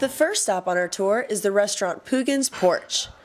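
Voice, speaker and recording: In a very clean recording with a silent background, a woman with an ordinary speaking voice talks at a moderate pace in a medium pitch, her intonation lively. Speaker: student TV reporter. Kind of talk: news feature reporting.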